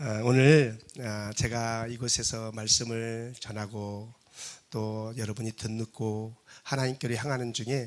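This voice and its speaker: A man talks at a medium pitch. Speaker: guest pastor, revival speaker. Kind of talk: sermon. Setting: church. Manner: usually calm and dignified.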